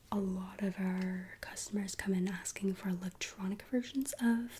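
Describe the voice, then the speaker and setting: Whispering, soft-spoken and somewhat breathy, the voice moves at a fairly slow pace. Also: woman. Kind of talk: ASMR roleplay, tailor taking body measurements. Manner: soft-spoken, whispering.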